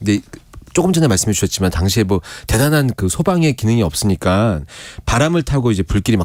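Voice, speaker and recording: Very fast speech with very wide pitch swings stays very even in loudness, in a dry, close sound with no echo. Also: man, medium pitch for a man. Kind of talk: conversational interview about history.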